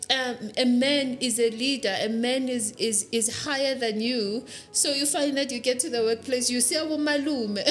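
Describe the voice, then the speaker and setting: A woman with a high pitch speaks at a fairly slow pace and fairly even intonation, with noticeable background noise behind her. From South Africa, Pretoria. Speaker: leadership coach. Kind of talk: interview.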